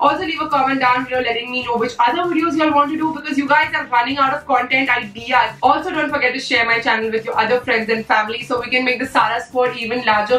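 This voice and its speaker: A woman's raised, projected voice at a high pitch and very fast pace, with audible room echo and faint background music. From India. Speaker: beauty YouTuber. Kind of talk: casual vlog talk to camera. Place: home room.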